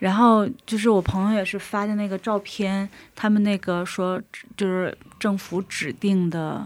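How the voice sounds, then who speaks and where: A woman's medium-pitched voice, a normal speaking voice, at a fairly slow pace with fairly even intonation on a very clean recording with a silent background. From Dalian, northeast China. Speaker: florist sharing faith story. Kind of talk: testimony.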